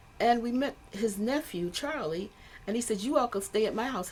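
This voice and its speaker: Over noticeable background noise, a woman speaks at a moderate pace with a fairly high pitch and very wide pitch swings. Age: 70s. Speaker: musician, bass player. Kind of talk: interview.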